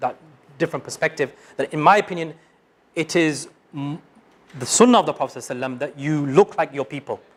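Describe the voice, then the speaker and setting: Talking at a very fast pace with ordinary pitch variation, a man speaks in a British accent. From United Kingdom. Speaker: Islamic studies teacher. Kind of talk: lecture. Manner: halting.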